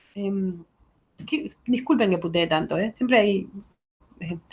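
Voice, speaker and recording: A woman's medium-pitched voice with vocal fry and lively intonation. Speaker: literature teacher. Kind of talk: lecture. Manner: hesitant, many fillers.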